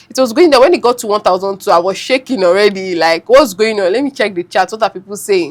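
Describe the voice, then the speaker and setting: With lively intonation, a woman moves along at a fairly quick pace. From Nigeria. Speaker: forex trader. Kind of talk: podcast interview answer.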